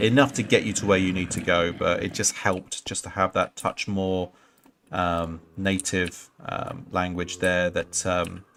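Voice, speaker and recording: A man with an English accent and a very deep, low pitch talks at a fairly slow pace with fairly even intonation. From England. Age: 40s. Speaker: gaming streamer. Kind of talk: casual live-stream commentary. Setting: live stream. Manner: halting, many fillers.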